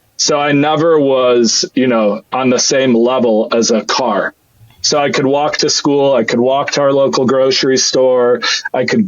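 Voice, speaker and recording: A man with an unremarkable speaking voice, medium pitch and very even loudness. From Switzerland, moved to Michigan at 13. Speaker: freight sales executive. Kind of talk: casual interview. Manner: casual, filler-heavy.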